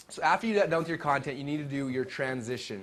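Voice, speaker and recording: With a fairly high pitch, a man talks at a fairly quick pace. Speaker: webinar marketing trainer. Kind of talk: live seminar talk. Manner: very fast.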